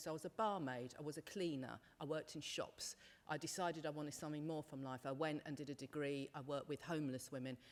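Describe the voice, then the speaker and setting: A woman speaks in a British accent. Her pitch is very deep and low, with fairly even intonation. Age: 50s. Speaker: panel speaker, women's sector worker. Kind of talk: panel discussion. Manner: loud.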